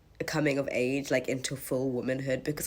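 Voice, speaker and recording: A woman's husky, animated voice at a very deep, low pitch and a fairly quick pace. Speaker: vlogger. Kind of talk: casual storytime chat.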